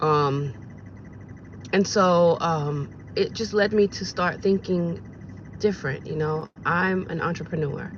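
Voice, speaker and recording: At a very slow pace with long, frequent pauses, a woman speaks in a somewhat breathy, fairly low voice with ordinary pitch variation. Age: 40s. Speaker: vlogger and rideshare driver. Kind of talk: casual vlog monologue. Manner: animated.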